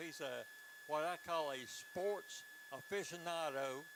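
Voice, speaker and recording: Audible room echo surrounds a man who speaks with an American accent. His pitch is high. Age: 70s. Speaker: color commentator. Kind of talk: live commentary. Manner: animated.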